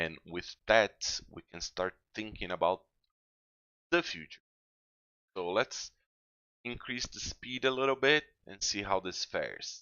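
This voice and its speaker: A man with a non-native accent, fairly low in pitch, at a fairly slow pace with long, frequent pauses. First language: not English. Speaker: gaming youtuber. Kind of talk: let's play commentary. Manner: halting, many fillers.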